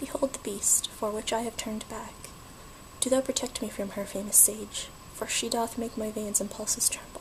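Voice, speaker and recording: Whispering against noticeable background noise. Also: moderate pace. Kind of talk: poetry reading. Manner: soft-spoken, relaxing.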